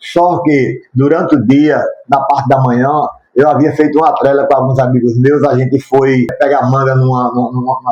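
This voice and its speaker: At a moderate pace, a man with a fairly high voice speaks in a flat monotone, his loudness very even. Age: 60s. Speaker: YouTuber sharing his life story. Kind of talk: testimony.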